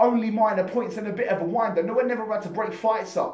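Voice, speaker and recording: A man speaks at a high pitch. Noticeable background noise can be heard. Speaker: spoken word poet. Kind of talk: spoken word performance poetry.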